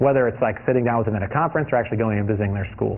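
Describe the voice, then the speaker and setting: Noticeable background noise behind a man's voice, medium in pitch, with ordinary variation. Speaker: design lecturer. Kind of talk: lecture Q&A. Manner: animated; halting.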